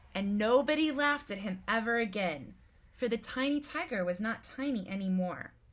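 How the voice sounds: A natural reading voice. The words are read aloud plainly.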